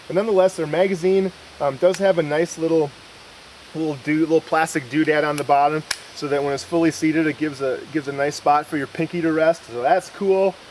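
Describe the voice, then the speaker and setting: Noticeable background noise accompanies a man talking very fast. His pitch is fairly high and his intonation fairly even. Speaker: firearms reviewer. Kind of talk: product review. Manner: casual, with many fillers.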